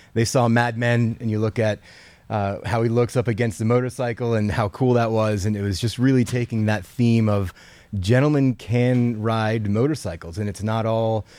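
A man speaks in an American accent with a dark, mellow tone. His intonation stays fairly even. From US South, Atlanta. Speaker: motorcycle event organizer. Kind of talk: casual chat. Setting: video call.

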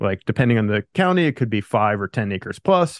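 A man speaks in a normal speaking voice at medium pitch and a moderate pace. The sound is dry and close with no echo, against a quiet background. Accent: American. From Pennsylvania. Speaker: land investor. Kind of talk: interview.

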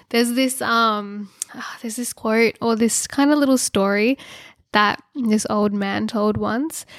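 A woman with an Australian accent speaks at a fairly slow pace, her fairly high pitch held to fairly even intonation. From Australia (Sydney). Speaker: social media creator and spice seller. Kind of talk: casual interview chat. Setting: sitting on floor in a spare bedroom.

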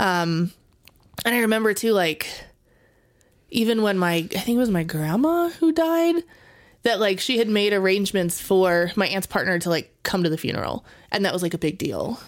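A woman with an American accent speaks at a moderate pace and medium pitch, her pitch swinging very widely while her loudness stays very even, broken by long, frequent pauses. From Las Vegas, Nevada. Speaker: podcast co-host. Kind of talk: casual chat.

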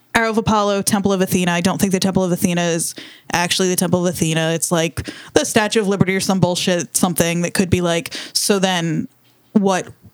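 A woman speaks at a very fast pace. Her pitch is medium. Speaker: podcast co-host. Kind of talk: casual chat. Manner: loud; animated.

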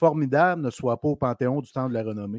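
Recorded with a dry, close sound and no echo, a man speaks at a moderate pace. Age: 40s. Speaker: hockey podcast co-host. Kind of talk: casual chat.

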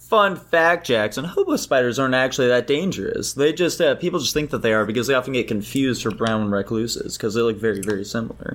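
Talking at a very fast pace with hardly any pauses, a man uses a medium pitch and lively intonation. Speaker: co-host. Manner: animated, profane.

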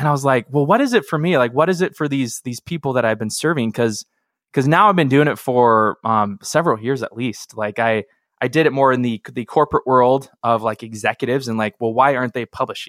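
A man's medium-pitched voice at a fairly quick pace, with ordinary pitch variation and a dry, close sound with no echo. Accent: West Coast. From US Pacific Northwest, Seattle. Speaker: filmmaker and video marketing coach. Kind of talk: interview. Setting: remote recording.

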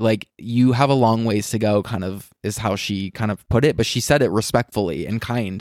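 A man with an American accent talks at a moderate pace with hardly any pauses, in a plain, everyday voice of medium pitch. His intonation is fairly even, and the recording is very clean with a silent background. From US West, Las Vegas. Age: 30s. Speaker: blogger and entrepreneur. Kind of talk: casual interview chat. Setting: at home in his apartment.

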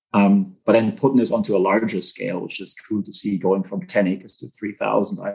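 With a German accent, a man speaks at a moderate pace in a fairly low pitch, his intonation fairly even. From Germany. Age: 30s. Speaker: agricultural entrepreneur. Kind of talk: interview.

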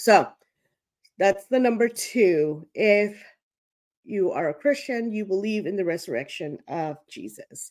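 Speaking at a fairly slow pace with long, frequent pauses, a woman uses a medium pitch, lively intonation and big swings in loudness. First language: not English. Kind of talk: solo teaching monologue. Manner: casual, many filler words.

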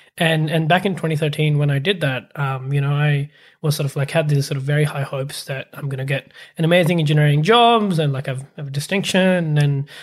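A man with a fairly high voice talks at a fairly quick pace, sounding somewhat breathy, on a very clean recording with a silent background. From Pakistan. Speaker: startup accelerator CEO. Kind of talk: interview.

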